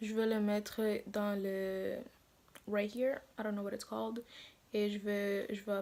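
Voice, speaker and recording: A woman of medium pitch speaks in a dark, mellow tone. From Africa. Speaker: beauty vlogger. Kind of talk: makeup tutorial. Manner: halting.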